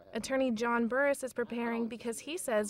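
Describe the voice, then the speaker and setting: Over noticeable background noise, a woman with a high voice speaks at a moderate pace. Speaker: TV news reporter. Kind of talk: TV news package narration.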